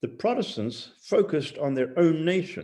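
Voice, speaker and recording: At a moderate pace, a man talks with vocal fry and a dark, mellow tone in a fairly high pitch. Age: 70s. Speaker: missionary leader. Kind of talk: interview.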